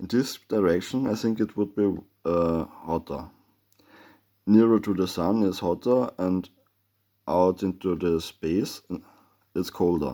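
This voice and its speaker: With a non-native accent, a man speaks at a very slow pace in a very deep, low, dark and mellow voice with ordinary pitch variation, captured in a very clean recording with a silent background. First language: German. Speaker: amateur theorist, video maker. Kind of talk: explanatory monologue with drawing. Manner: halting, many filler sounds.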